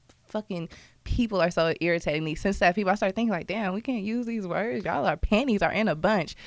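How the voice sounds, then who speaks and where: Talking at a very fast pace with an American accent, a woman uses medium pitch, ordinary pitch variation and an animated tone in a very clean recording with a silent background. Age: 20s. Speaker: podcaster. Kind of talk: casual chat.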